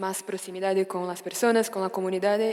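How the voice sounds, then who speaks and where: Noticeable background noise sits under a woman of medium pitch who speaks with a Brazilian accent and fairly even intonation. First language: Portuguese (speaking Spanish). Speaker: audience member. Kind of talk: audience question. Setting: stage with audience.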